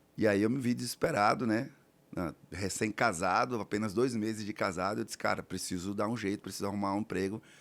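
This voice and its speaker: Fairly low-pitched man with a northeastern Brazilian accent, ordinary pitch variation and a fairly quick pace, on a very clean recording with a silent background. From Alagoas, Brazilian Northeast. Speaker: real estate entrepreneur. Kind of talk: podcast interview.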